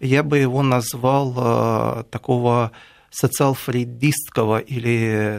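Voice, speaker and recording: A man speaks at medium pitch in a monotone, flat way, in a very clean recording with a silent background and a dry, close sound with no echo. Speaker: writer and commentator. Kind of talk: radio studio discussion. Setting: radio studio.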